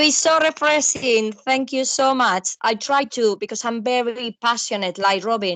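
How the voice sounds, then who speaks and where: Speaking with a Spanish accent, a high-pitched woman uses lively intonation at a fairly slow pace with hardly any pauses, in a dry, close sound with no echo. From Spain. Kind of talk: casual chat.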